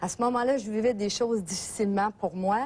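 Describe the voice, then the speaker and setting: A woman with a fairly high voice speaks at a moderate pace, somewhat breathy, with ordinary pitch variation against a quiet background. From Gaspésie, Quebec. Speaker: therapy client sharing experience. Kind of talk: testimony. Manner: halting, many hesitations.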